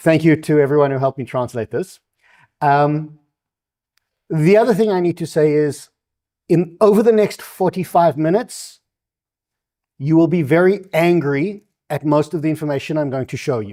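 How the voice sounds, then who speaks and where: A man with a South African accent speaks at a moderate pace, his fairly high voice dark and mellow in tone with ordinary pitch variation. He takes long, frequent pauses on a very clean recording with a silent background. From South Africa, Durban. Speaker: invited speaker on NGO funding. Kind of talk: public lecture with slides. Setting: stage with live audience.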